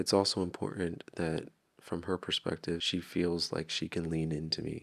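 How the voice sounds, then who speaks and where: A man speaks at a very deep, low pitch and a moderate pace. His intonation stays monotone and flat. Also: very clean recording, silent background. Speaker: vlogger narrating his relationship content. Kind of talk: recorded voice-over narration. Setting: home at night while partner sleeps. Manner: quiet, hushed.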